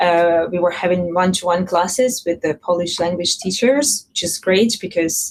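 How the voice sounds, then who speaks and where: A woman with a Russian accent, medium in pitch with ordinary pitch variation, at a moderate pace with hardly any pauses. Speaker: panelist, tech company employee. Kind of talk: panel discussion.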